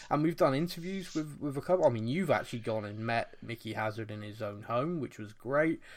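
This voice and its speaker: With hardly any pauses, this normal speaking voice has lively intonation and big swings in loudness. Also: man, medium pitch for a man. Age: 30s. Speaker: football podcast host. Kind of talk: casual chat.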